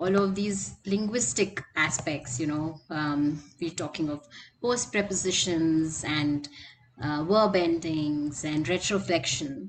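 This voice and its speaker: Music plays in the background as the speaker talks at a very slow pace with ordinary pitch variation. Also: woman. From Lucknow, India. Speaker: podcast co-host, publisher. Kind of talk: interview.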